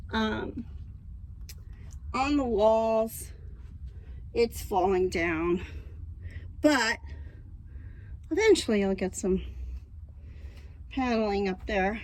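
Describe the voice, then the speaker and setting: A woman speaks very slowly, with long, frequent pauses. Her voice sits fairly high and shows ordinary pitch variation. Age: 70s. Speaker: van dweller. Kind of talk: casual talk to camera.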